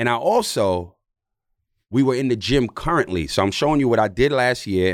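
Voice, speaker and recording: Pitch moves in an ordinary way as a man talks on a very clean recording with nothing in the background. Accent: New York. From New York City. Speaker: former basketball player and podcast host. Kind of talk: casual chat.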